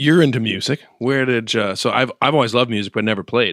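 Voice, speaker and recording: A man talks at a moderate pace in a normal speaking voice. His pitch is medium. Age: 40s. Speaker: podcast host. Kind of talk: casual chat.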